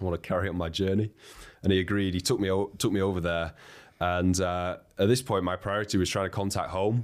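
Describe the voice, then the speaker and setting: In a Lancashire accent, a man with a very deep, low pitch speaks at a fairly quick pace. The recording is very clean, with a silent background. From northern England, Wigan. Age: 30s. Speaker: expedition leader. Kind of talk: interview conversation.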